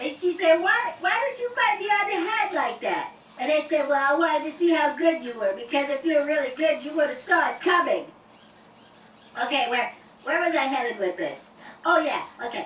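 A cartoonish character voice with a high pitch moves at a moderate pace, carrying a slight echo. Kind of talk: comedy stand-up routine. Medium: puppet. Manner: stammering, goofy.

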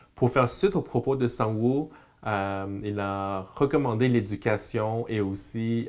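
Fairly even intonation from a man with a fairly low voice. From Quebec, Montreal. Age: 40s. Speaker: community worker. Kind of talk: interview. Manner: halting. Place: meeting room. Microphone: lapel.

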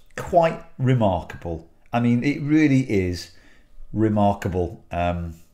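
A man with a dark, mellow tone and lively intonation speaks over a quiet background. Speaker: aviation educator. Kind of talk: video briefing. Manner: hesitant, many fillers. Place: home room.

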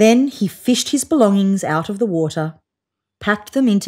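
Lively intonation carries a natural reading voice against a quiet background.

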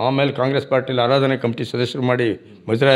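An ordinary speaking voice is heard against a quiet background. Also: man. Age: 60s. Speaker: village council member and farmer; village council member. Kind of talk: interview. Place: office. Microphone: handheld.

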